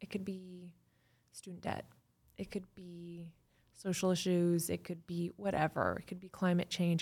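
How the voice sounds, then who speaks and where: Somewhat breathy and flat in a monotone, the speaker talks at a moderate pace with long, frequent pauses and an American accent. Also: woman. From Chicago suburbs, US Midwest. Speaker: tech saleswoman and activist. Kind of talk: casual interview chat. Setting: studio.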